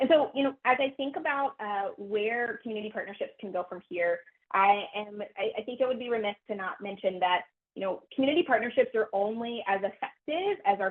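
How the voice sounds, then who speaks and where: A woman speaks fairly quickly in a fairly high voice with lively intonation. Her loudness swings widely. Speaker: public health program director. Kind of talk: webinar presentation. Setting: webinar. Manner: fast.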